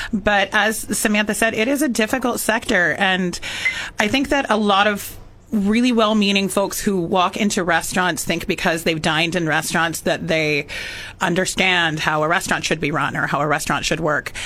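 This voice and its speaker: A woman with an American accent uses an ordinary speaking voice at a medium pitch, with ordinary pitch variation, very even loudness and a moderate pace. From California Central Coast. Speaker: former restaurant owner. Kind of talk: radio talk show discussion. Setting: radio studio.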